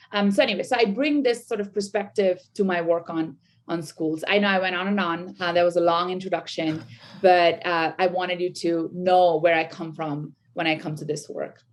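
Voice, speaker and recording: This voice carries a Bengali accent and ordinary pitch variation. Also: woman, fairly low pitch for a woman, moderate pace. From India. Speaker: sociology professor. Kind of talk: podcast interview. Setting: video call. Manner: halting, many fillers.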